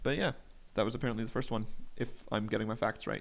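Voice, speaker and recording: Recorded very cleanly against a silent background, a man speaks at a very fast pace with lively intonation and vocal fry. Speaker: podcast host. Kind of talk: casual solo monologue. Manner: casual, with frequent fillers.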